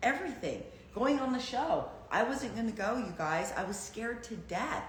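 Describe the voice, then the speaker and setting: Animated and lively in intonation, a woman speaks at a fairly high pitch and moderate pace. Noticeable background noise and audible room echo surround her voice. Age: 60s. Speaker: reality dating show contestant and livestream host. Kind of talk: casual chat. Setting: livestream.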